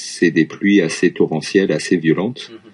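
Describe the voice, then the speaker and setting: A man speaks with fairly even intonation. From France, Lyon area. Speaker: French teacher. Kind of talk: casual chat.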